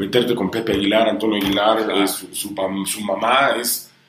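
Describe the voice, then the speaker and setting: Moderate-paced speech from a man, with noticeable background noise and audible room echo. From Honduras and Mexico. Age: 40s. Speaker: music TV presenter. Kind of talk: interview.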